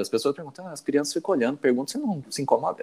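A man's voice has a dark, mellow tone. His pitch swings very widely. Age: 40s. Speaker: IT worker. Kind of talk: casual chat.

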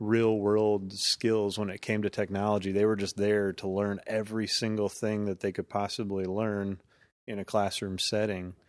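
An ordinary speaking voice at a moderate pace with fairly even intonation, on a very clean recording with a silent background. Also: man. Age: 30s. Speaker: entrepreneur and business owner. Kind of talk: casual interview.

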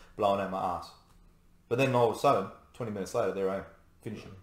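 A man rattles along very fast, his voice picking up audible room echo. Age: 30s. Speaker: navy serviceman. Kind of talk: casual chat.

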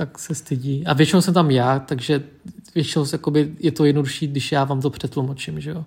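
A man talks at a fairly quick pace in a somewhat breathy, fairly high voice with monotone, flat intonation. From Czech Republic, Vietnamese family. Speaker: podcast co-host. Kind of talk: casual chat.

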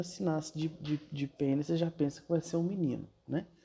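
A man at a fairly quick pace. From Brazil, Brasília. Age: 30s. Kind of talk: casual talk on gender and parenting. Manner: hesitant, many fillers.

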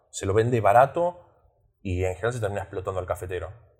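A somewhat breathy man at medium pitch, ordinary pitch variation, on a very clean recording with a silent background. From Australia. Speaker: podcast host. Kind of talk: interview.

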